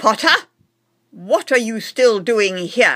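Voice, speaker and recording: A woman uses a put-on character voice at a fairly high pitch. She speaks very slowly. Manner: sharp, calling out.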